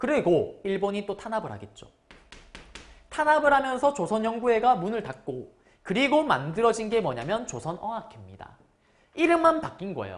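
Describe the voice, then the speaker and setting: A woman's fairly high, animated voice with vocal fry, very wide pitch swings, big swings in loudness and a moderate pace. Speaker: history lecturer for exam prep. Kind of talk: lecture.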